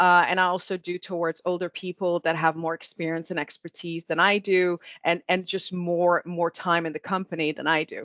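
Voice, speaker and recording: A woman's fairly low, flat monotone at a moderate pace with hardly any pauses, in a dry, close sound with no echo and a quiet background. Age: 40s. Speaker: marketing executive.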